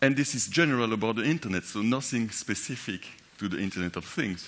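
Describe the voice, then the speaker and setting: A man talks at a medium pitch. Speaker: conference speaker. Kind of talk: conference talk. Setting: conference stage with audience.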